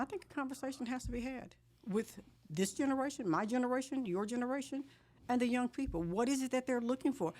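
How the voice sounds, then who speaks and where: At a very fast pace, a woman speaks in a high pitch with ordinary pitch variation. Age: 60s. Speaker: politician. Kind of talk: interview.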